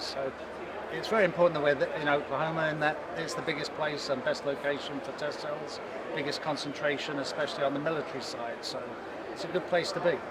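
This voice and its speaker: With an American accent, a man talks at a very fast pace in a fairly high voice, with noticeable background noise and audible room echo. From East Texas. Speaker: aerospace company representative. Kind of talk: interview.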